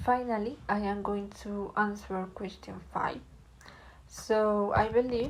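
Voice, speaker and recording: A woman speaks at a very slow pace. Room echo is audible around her voice. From Colombia. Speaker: student. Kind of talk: class presentation reading answers.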